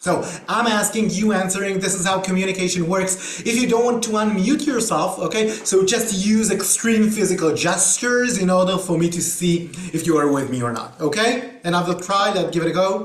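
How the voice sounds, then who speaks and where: A man's high voice with an Israeli accent, moderate in pace with hardly any pauses and ordinary pitch variation, amid noticeable background noise and audible room echo. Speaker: trainer. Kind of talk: online workshop. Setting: video call. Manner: hesitant with many fillers.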